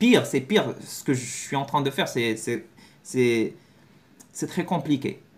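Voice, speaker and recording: Very slow, somewhat breathy delivery with lively intonation and long, frequent pauses. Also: man, fairly high pitch for a man. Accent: Moroccan. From Morocco. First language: Moroccan Arabic (speaking French). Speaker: language learning youtuber. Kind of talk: video lesson to camera. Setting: talking to a camera. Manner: halting, many repetitions and self-corrections.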